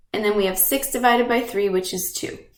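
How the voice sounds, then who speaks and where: There is audible room echo as a woman speaks. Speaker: teacher. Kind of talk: lecture.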